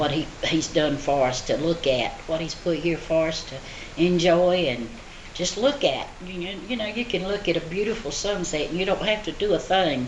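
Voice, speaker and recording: A woman with a strong Southern US accent, fairly low in pitch, at a moderate pace and ordinary pitch variation, with audible room echo and noticeable background noise. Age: 70s. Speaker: elderly interviewee. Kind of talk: interview answers. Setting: senior center. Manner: halting.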